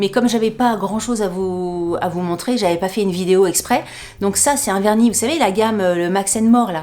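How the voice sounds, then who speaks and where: A woman talks in an animated tone at a medium pitch and fairly quick pace. Noticeable background noise is present. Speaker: YouTuber. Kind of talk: haul video monologue. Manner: fast.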